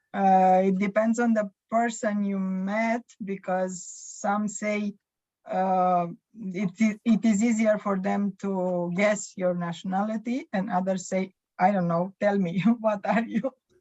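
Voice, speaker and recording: Somewhat breathy, a woman of medium pitch speaks at a very slow pace with fairly even intonation. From Romania, Bucharest. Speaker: small business owner. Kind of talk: interview. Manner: halting.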